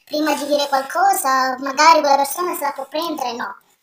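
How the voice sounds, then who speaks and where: A woman speaks in a high pitch. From southern Italy, Salento (Apulia). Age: 20s. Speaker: university student and podcast guest. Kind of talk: interview.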